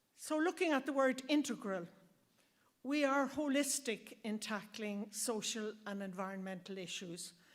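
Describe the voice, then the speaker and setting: A woman talks in an Irish accent at a moderate pace. Her pitch is fairly high and her intonation lively. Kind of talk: speech at launch event.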